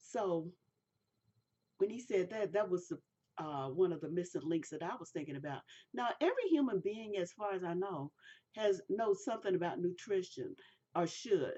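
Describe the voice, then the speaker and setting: In an American accent, a woman speaks at a medium pitch and a moderate pace, with lively intonation and long, frequent pauses. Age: 60s. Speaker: product reviewer. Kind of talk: product review monologue. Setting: recorded on camera. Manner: casual, halting.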